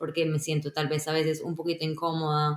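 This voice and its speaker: At a moderate pace, a woman speaks with fairly low pitch. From Colombia. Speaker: software engineer. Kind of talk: podcast interview.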